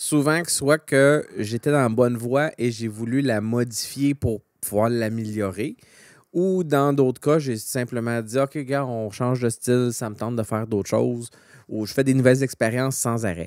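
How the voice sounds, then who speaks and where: Over a quiet background with dry sound and no echo, a man with a Quebec accent talks at a fairly slow pace with ordinary pitch variation. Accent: Québécois French. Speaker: podcast co-host. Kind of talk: casual chat. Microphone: studio mic.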